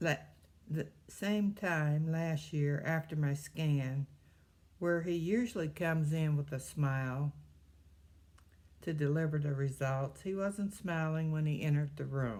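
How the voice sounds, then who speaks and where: A woman with a Midwestern accent speaks at a fairly slow pace in a very deep, low voice, her pitch varying normally as she takes long, frequent pauses. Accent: US Midwest (Ohio). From Ohio, Cleveland. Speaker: cancer survivor, retired postmaster. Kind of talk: testimony.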